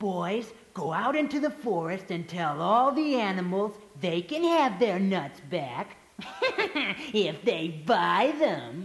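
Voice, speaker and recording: At a fairly slow pace and a middle pitch, a female-sounding voice performs a put-on character voice. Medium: read story. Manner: bossy, authoritative.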